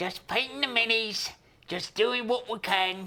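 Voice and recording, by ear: Using a put-on character voice, a female-sounding speaker talks at a moderate pace with a fairly high pitch.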